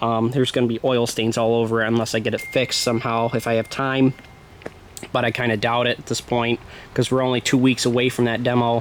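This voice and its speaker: Very fast and monotone, a man with an American accent keeps a flat intonation and very even loudness over noticeable background noise. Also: medium pitch for a man. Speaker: demolition derby vlogger. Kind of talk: casual vlog monologue. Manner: rambling with many fillers.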